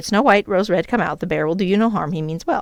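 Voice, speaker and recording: Using a put-on character voice, a female-sounding speaker races along at a very fast pace with a medium pitch. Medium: read story.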